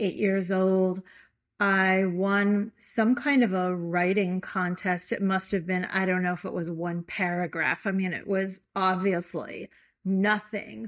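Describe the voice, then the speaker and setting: In a Chicago accent, a woman speaks with fairly even intonation on a very clean recording with a silent background. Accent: Chicago American English. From US Midwest, Chicago. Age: 60s. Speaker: yoga therapist and author. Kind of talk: interview conversation.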